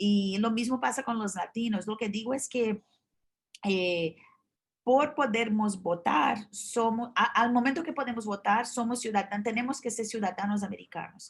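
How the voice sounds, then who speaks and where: A woman speaks at a fairly slow pace in a somewhat breathy voice. Her pitch is fairly high, with ordinary variation. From Brazil. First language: Portuguese (speaking Spanish). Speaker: journalist. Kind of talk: interview. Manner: halting, many fillers and restarts.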